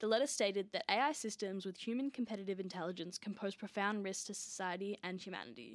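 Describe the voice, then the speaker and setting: With an Australian accent, a woman of medium pitch talks at a very fast pace with hardly any pauses. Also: ordinary pitch variation. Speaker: student podcast host. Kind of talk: news reading. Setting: studio. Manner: steady, clear, formal newsreader delivery; brisk, even-paced, mostly neutral and scripted.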